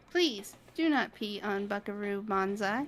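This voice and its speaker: A female-sounding, put-on character voice speaks at medium pitch. The pace is moderate. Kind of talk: robot voice. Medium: virtual streamer. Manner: flat, clipped, computer-like phrasing.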